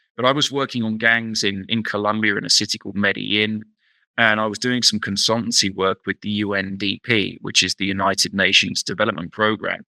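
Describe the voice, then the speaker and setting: In a very clean recording with a silent background and a dry, close sound with no echo, a man with a British accent talks at a fairly quick pace in a bright, sharp tone with monotone, flat intonation. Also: fairly low pitch for a man. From England, London. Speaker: researcher. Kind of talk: interview. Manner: hesitant, repeats words.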